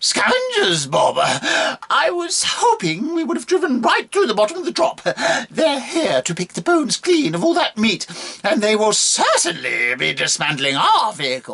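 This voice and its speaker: A put-on character voice from a man, extremely high in pitch, at a moderate pace with hardly any pauses. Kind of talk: fiction narration with character voices. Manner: chatty, urgent.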